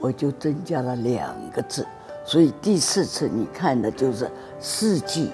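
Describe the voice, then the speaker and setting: A woman's fairly slow speech with very wide pitch swings and music in the background. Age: 70s. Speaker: calligraphy artist. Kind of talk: interview answer.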